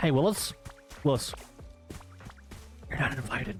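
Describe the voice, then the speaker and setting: Over clear music in the background, a man uses a put-on character voice at medium pitch and a moderate pace. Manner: goofy, taunting.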